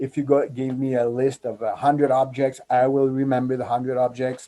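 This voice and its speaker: A man speaks at a moderate pace with a medium pitch and a dark, mellow tone. He has a French accent. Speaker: corporate magician and memory trainer. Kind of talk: interview storytelling. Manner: animated, with frequent hesitations.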